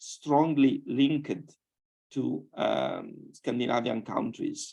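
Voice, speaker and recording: Speaking at a fairly slow pace, a man comes through with a strong Sardinian accent. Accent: strong Italian (Sardinian). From Sardinia, Italy (Iglesias). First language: Italian. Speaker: scientist, panelist. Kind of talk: panel discussion. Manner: halting, with many repetitions.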